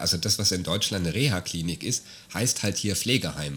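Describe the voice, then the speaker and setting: A man is speaking. Music plays in the background. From Germany. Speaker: podcast host. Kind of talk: casual chat.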